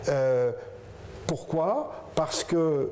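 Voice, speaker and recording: Noticeable background noise fills the clip. A man delivers his words very slowly. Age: 60s. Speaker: business co-founder, hospital manager. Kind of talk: interview. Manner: hesitant, with fillers and restarts.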